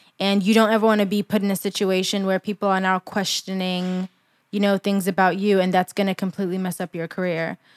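In an American accent, a woman talks at a very fast pace with monotone, flat intonation and medium pitch, recorded very cleanly with a silent background and a dry, close sound with no echo. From England. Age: 20s. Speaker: university student, PR worker and blogger. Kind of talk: casual chat.

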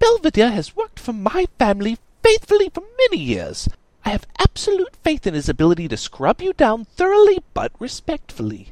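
A man's put-on character voice at an extremely high pitch and a fairly quick pace. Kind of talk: posh upper-class drawl. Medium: read story. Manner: fussy, dramatic, condescending.

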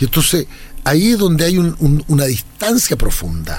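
Moderately paced male speech amid noticeable background noise. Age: 60s. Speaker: lawyer, academic and writer. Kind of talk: interview conversation.

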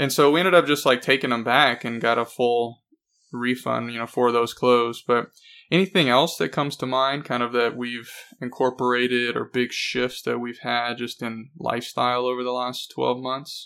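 In a normal speaking voice, the words come at a moderate pace with fairly even intonation. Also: man, medium pitch for a man. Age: 30s. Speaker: podcast host. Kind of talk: casual chat.

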